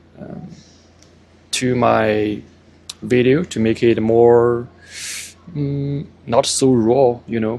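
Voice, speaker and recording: Very slow speech from a man, with long, frequent pauses and noticeable background noise. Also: medium pitch for a man, ordinary pitch variation. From China. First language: Chinese. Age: 40s. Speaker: vlogger. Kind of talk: casual vlog monologue. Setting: outdoors by parked cars. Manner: halting, many fillers.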